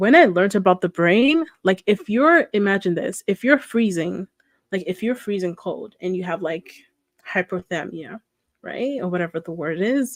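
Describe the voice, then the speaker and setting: A woman with a non-native accent speaks at a moderate pace and medium pitch, her intonation lively. The sound is dry and close with no echo, and the background is quiet. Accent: noticeable non-native. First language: not English. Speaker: reaction streamer. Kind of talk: casual reaction commentary.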